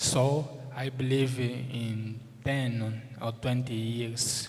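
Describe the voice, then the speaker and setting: In audible room echo, a man speaks at a very slow pace with medium pitch, monotone, flat intonation and a somewhat breathy tone. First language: Portuguese. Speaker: moot court judge. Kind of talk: formal speech. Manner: halting, many fillers.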